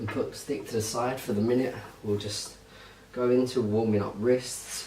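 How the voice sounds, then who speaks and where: A soft-spoken man with a British accent talks at a medium pitch and moderate pace in a flat, monotone way. Noticeable background noise and audible room echo surround him. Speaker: fitness instructor. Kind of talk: tutorial. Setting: holiday lodge at night. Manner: quiet, soft-spoken.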